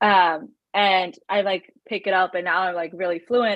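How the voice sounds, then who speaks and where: A woman's medium-pitched, unremarkable speaking voice at a moderate pace. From US, born in India, moved at age two. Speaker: fantasy author. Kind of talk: casual panel discussion.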